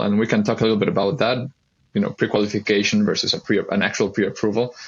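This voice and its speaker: A man speaks with a Spanish accent. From Mexico. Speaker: mortgage broker. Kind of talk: interview.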